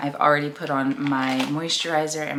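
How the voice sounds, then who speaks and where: Background noise is noticeable. The speech moves at a moderate pace. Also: woman. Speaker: lifestyle YouTuber. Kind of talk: casual chat.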